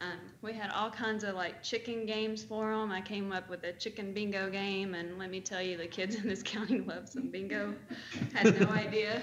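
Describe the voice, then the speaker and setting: Amid audible room echo and noticeable background noise, a woman speaks at a moderate pace in a medium pitch with monotone, flat intonation. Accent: American. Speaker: 4-H extension agent. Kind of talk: report to county board meeting. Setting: county commission meeting.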